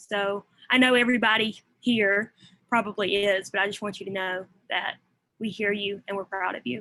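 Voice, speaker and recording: In a Southern US accent, the speaker's bright, sharp tone holds a fairly even intonation at a moderate pace. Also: woman, medium pitch for a woman. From US South. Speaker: college student. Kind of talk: audience question.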